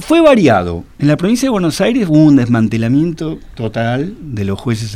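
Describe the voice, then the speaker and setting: A man's voice with lively intonation. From Argentina. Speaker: historian and author. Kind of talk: interview. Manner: halting, many fillers.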